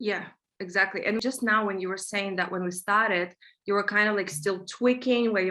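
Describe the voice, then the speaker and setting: Pitch moves in an ordinary way. The tone comes across bright and sharp. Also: woman. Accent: Russian. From Russia. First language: Russian. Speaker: manifestation coach. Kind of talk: interview conversation.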